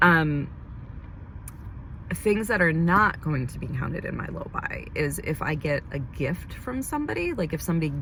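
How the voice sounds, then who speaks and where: A woman speaks at a moderate pace. Audible room echo and noticeable background noise are present. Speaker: beauty vlogger and esthetician. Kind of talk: casual vlog monologue. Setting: in a car.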